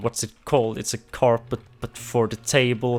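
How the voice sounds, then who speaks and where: A man speaks at a medium pitch. He has a non-native accent. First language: not English. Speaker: Minecraft gaming YouTuber. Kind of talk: casual gameplay commentary. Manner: hesitant, with many fillers and false starts.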